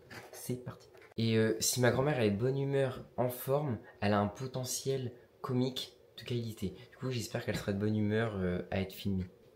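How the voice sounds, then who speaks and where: A man of medium pitch speaks at a fairly quick pace with fairly even intonation amid noticeable background noise. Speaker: vlogger. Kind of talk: vlog.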